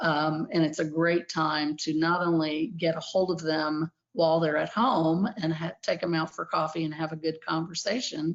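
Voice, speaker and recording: A woman with an American accent has an unremarkable speaking voice, pitched fairly low. She keeps a moderate pace and fairly even intonation. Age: 60s. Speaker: animal welfare advocate. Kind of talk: conference talk. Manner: casual with frequent fillers.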